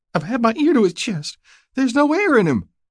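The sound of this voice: Against a silent background in a very clean recording, a man puts on a character voice at an extremely high pitch, with big pitch swings and a fairly quick pace.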